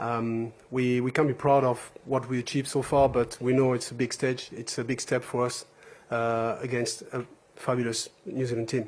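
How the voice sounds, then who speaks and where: Against noticeable background noise, a man with a French accent speaks at a moderate pace and a medium pitch with monotone, flat intonation. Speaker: rugby player. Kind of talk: press conference. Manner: halting.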